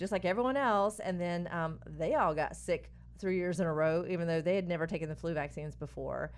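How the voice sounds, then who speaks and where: A woman with a fairly low pitch talks at a fairly quick pace, with ordinary pitch variation. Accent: North Carolina. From North Carolina, Stanly County. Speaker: integrative physician. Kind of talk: radio interview.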